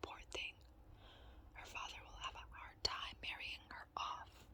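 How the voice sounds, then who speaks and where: Whispered speech comes at a moderate pace with noticeable noise in the background. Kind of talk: read story.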